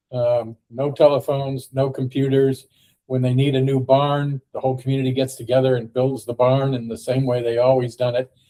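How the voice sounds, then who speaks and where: A man with an American accent speaks at a fairly quick pace in a medium pitch, with monotone, flat intonation. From US, Ohio. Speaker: podcast host. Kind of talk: casual discussion. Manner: halting, many fillers.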